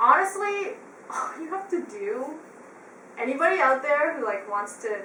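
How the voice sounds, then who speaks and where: A woman's raised, projected voice with a West Coast Canadian accent, very wide pitch swings, long and frequent pauses, audible room echo and noticeable background noise. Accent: West Coast Canadian, laid back. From western Canada, Vancouver area. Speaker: musician, flutist. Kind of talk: casual chat. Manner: laid back.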